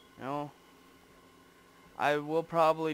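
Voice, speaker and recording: A man at a fairly slow pace. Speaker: gaming video creator. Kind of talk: casual gameplay commentary. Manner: casual, rambling with fillers. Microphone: broken headset mic resting on shoulder.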